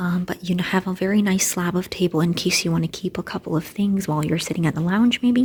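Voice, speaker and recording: A woman's quiet, somewhat breathy voice at medium pitch, fairly quick, with ordinary pitch variation. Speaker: student vlogger. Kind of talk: walkthrough vlog. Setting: indoors, walking through a residence building. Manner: quieter, lowered voice.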